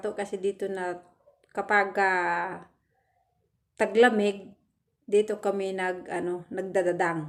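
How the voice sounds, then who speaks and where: Medium-pitched, fairly even speech from a woman at a moderate pace. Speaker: overseas worker vlogger. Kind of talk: casual vlog. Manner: halting, many fillers.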